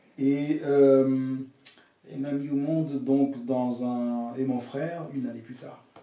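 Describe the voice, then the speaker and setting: At a very slow pace, a man speaks at medium pitch in a monotone, flat intonation, with audible room echo. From Dominica (Caribbean). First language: English or Dominican creole (speaking French). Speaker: author and pastoral counselor. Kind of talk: interview, life story. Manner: hesitant, many fillers.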